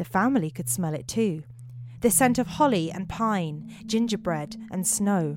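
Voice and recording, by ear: With lively intonation, someone reads out loud in a natural voice.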